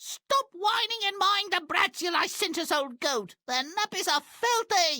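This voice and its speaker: A man uses a put-on character voice at an extremely high pitch. He moves at a fairly slow pace with hardly any pauses. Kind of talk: video game character dialogue.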